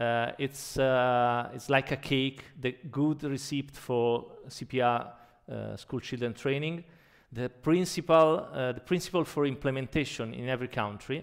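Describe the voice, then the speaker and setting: A man speaks with a strong Italian accent. His intonation stays fairly even. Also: medium pitch for a man, fairly slow pace. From Italy. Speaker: anesthesiologist and emergency physician. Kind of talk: conference keynote. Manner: halting.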